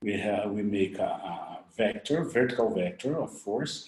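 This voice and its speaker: Speaking at a fairly slow pace, a man uses lively intonation while audible room echo surrounds his voice. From Brazil. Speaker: orthodontics professor. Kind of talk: lecture. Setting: webinar recording. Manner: halting.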